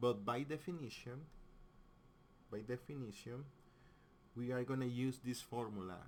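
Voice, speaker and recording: Ordinary pitch variation, long and frequent pauses, and a strong non-native accent. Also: man, medium pitch for a man, moderate pace. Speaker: physics teacher. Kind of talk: tutorial. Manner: halting.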